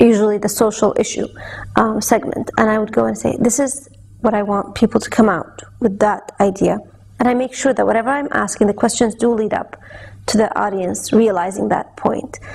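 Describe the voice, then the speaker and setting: Noticeable background noise sits behind a woman whose fairly high voice keeps fairly even intonation at a moderate pace. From Saudi Arabia. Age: young. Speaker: television host. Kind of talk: interview.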